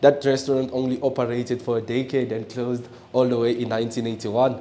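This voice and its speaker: Over noticeable background noise, a man at a medium pitch talks very fast in a monotone, flat intonation. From born in DR Congo, raised in South Africa. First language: French and Swahili. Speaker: local tour guide. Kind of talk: guided tour conversation.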